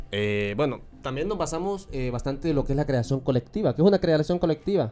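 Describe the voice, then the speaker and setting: With music in the background, a man speaks very fast at a fairly high pitch, his intonation lively. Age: 20s. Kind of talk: interview.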